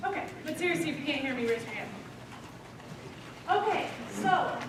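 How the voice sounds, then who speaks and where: A loud, high-pitched woman's voice with audible room echo and noticeable background noise. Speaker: accountant presenting to students. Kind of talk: workshop presentation. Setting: lunch presentation to students. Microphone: speaking without the microphone.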